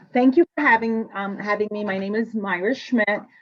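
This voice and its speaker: A woman speaks with a Spanish accent. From Cuba. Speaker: nurse manager. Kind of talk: career panel talk. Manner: hesitant, many fillers.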